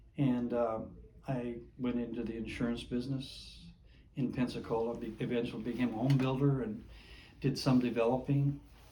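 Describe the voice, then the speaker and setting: With audible room echo around him, a man talks at medium pitch and a moderate pace, monotone and flat, leaving long, frequent pauses. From Minnesota. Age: 80s+. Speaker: Navy veteran. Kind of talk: oral history interview. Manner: halting.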